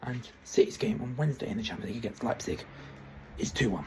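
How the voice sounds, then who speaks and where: A man is speaking. Background noise is noticeable. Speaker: football predictions YouTuber. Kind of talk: solo vlog monologue. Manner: fast; halting, self-correcting.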